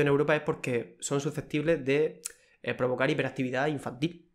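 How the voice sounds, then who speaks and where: Over a quiet background, a man speaks with monotone, flat intonation. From Cartagena, Murcia, Spain. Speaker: food quality technician. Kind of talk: casual interview. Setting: studio, in person. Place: home room. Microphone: studio mic.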